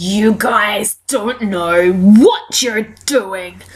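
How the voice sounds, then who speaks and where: This is a put-on character voice. Its pitch sits fairly high. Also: female-sounding voice. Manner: very loud, shouting.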